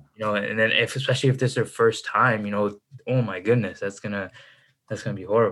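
On a very clean recording with a silent background, a man talks at a very fast pace. He has a Chicago accent, a fairly low pitch and fairly even intonation. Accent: Chicago American. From US Midwest, Chicago suburbs. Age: 20s. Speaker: entrepreneur and finance content creator. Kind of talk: casual interview chat.

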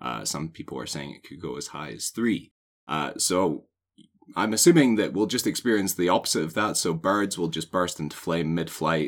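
A man with a very deep, low voice and vocal fry speaks at a moderate pace. His intonation is lively, with big swings in loudness. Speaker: podcast co-host. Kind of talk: casual chat.

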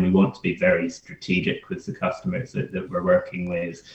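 Very wide pitch swings from a somewhat breathy man. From Scotland. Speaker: marketing agency founder. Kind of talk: interview.

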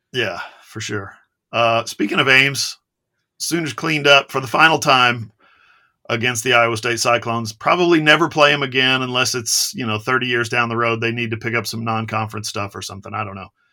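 The speaker is a man with an American accent and a bright, sharp tone. He moves at a fairly quick pace with ordinary pitch variation. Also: medium pitch for a man, big swings in loudness. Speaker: sports podcast host, publisher. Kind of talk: casual sports chat. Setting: remote, in Tulsa.

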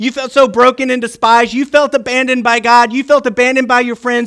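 A man speaks in a raised, projected voice at an extremely high pitch. His tone is bright and sharp, and his pace is moderate. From Virginia. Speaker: pastor. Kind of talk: sermon. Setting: church. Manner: animated.

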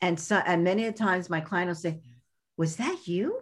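With a Brooklyn accent, a woman talks at a moderate pace in a somewhat breathy voice of medium pitch and ordinary pitch variation. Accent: Brooklyn New York. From US Northeast, Brooklyn, New York. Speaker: podcast host and life coach. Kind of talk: podcast interview.

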